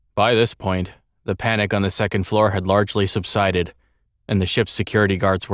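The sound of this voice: Against a quiet background, the text is read in an unforced voice.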